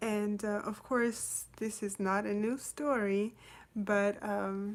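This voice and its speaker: With a non-native accent, a woman speaks at a fairly high pitch in monotone, flat intonation. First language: not English. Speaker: storyteller reading children's books. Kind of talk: casual chat; reading aloud. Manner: hesitant, many fillers.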